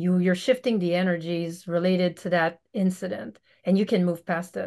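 Against a quiet background, a woman with a fairly low pitch speaks at a moderate pace with fairly even intonation. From Quebec, Canada. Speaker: veterinarian; podcast guest. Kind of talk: casual interview. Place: home room. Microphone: video call.

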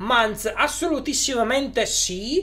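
A man at a very slow pace, with faint music in the background. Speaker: YouTuber on electric cars; live streamer. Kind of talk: live stream chat with viewers. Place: home room.

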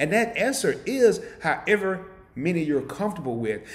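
Very wide swings in pitch from a man. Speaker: channel host. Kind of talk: live stream chat. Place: home room.

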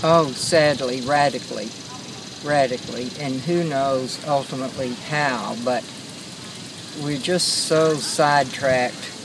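A woman with an American accent at a fairly slow pace, dry sound with no echo, and noticeable background noise. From West Texas. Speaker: interviewee. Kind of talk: interview. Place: garden. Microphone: phone near.

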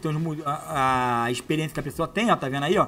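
This man talks at a very fast pace in an animated tone that sounds bright and sharp. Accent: Brazilian. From Brazil. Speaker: online money-making youtuber; online seller, youtuber. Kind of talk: product demo tutorial. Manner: casual and animated. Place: home room. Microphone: lapel.

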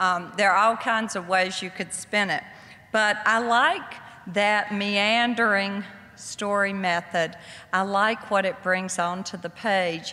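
A woman talks at a very slow pace, keeping her intonation fairly even. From US South. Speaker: author; guest. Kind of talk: lecture. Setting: stage with audience. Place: hall. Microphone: podium.

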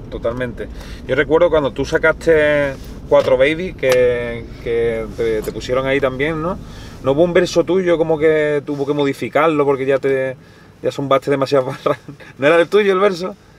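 A man speaks in a Spanish accent at a fairly high pitch. His pace is moderate, with light background noise. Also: ordinary pitch variation, dry sound with no echo. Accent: Peninsular Spanish. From Spain. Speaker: YouTube interviewer. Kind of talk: casual interview. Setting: in a car. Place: car.

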